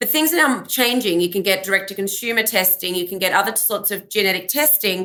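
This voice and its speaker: A woman with an Australian accent at a very fast pace and hardly any pauses, bright and sharp in tone, medium in pitch, with ordinary pitch variation. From Australia (Melbourne). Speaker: genetic counselor. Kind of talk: interview. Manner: halting, many fillers.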